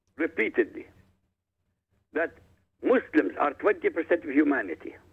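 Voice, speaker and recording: At a moderate pace, a man speaks with an Arabic accent. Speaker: author. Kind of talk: radio interview.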